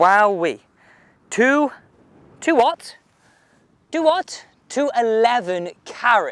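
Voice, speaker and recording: In a very clean recording with a silent background, a man with a British accent speaks with very wide pitch swings. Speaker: golf equipment reviewer. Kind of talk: casual video review.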